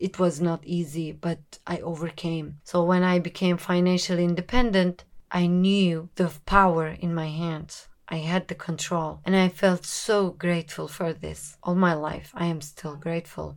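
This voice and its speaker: A woman speaks at a moderate pace with hardly any pauses, her fairly low voice monotone and flat in intonation. The recording is very clean, with a silent background. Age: 20s. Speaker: podcast host. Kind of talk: casual monologue. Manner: unscripted, casual.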